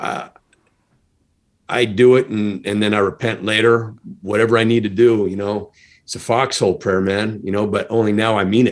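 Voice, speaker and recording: A man speaks in a fairly low pitch with monotone, flat intonation. Long, frequent pauses break up his speech. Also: moderate pace. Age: 60s. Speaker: stuntman, comedy magician and army veteran. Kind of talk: podcast interview.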